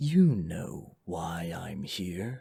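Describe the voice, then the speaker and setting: A man puts on a menacing character voice, very deep and low, raspy, growling and hissing. His intonation stays lively throughout. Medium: read story. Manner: hissing, menacing.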